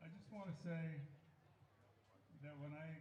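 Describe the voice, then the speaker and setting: A man's fairly high, monotone, flat voice, with audible room echo and noticeable background noise. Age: 70s. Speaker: former summer league baseball player. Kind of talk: speech to crowd. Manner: halting.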